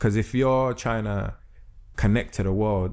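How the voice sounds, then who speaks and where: In a London accent, a man with a fairly low voice talks at a moderate pace with ordinary pitch variation. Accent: London multicultural English. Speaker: spoken word artist and rapper. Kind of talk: podcast interview. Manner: casual, lots of filler phrases.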